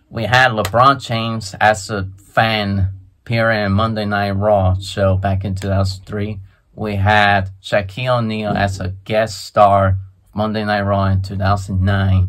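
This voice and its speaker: A man speaks at a fairly slow pace in a fairly low pitch, his intonation monotone and flat, against a quiet background. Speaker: sports and wrestling vlogger. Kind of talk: casual talk to camera, commentary on wrestling news. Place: home room. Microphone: phone near.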